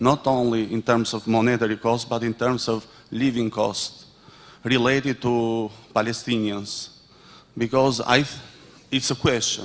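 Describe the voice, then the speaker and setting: A man speaks with an Albanian accent at a fairly slow pace. His intonation is monotone and flat, broken by long, frequent pauses. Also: medium pitch for a man. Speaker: audience member, association president. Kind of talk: audience question. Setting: conference with audience. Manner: halting.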